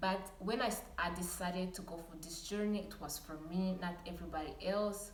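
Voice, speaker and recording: At a moderate pace and medium pitch, a woman talks with hardly any pauses and fairly even intonation, with audible room echo and noticeable background noise. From Rwanda. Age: 20s. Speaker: lifestyle vlogger. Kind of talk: casual vlog talk to camera. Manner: some stuttering.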